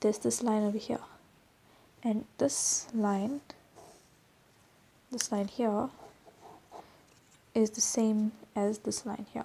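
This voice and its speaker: A woman's fairly high voice at a very slow pace, over noticeable background noise. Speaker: drawing tutor. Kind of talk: tutorial. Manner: casual.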